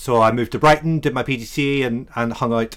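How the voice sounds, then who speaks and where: The recording is very clean, with a silent background. A man with an Irish accent talks at a moderate pace. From Ireland. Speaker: freelance web developer, former teacher. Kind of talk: casual chat. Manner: lilting.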